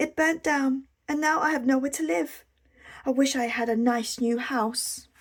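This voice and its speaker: A woman speaks in a put-on character voice, squeaky and high-pitched. Her pace is moderate. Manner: sad, wishful.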